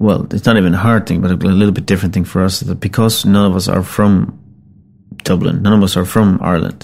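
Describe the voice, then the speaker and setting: A fairly low-pitched man with a Finnish accent and fairly even intonation. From Finland. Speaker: singer-songwriter and band frontman. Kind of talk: interview storytelling. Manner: hesitant with many fillers.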